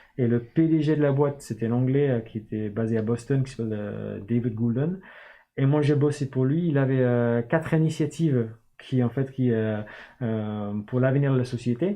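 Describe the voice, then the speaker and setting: Here is a voice with an English accent at a moderate pace. Pitch varies in an ordinary way. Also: man, medium pitch for a man. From northern England, Newcastle. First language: English (speaking French). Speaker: start-up founder and CEO. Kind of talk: interview. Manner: hesitant, many fillers.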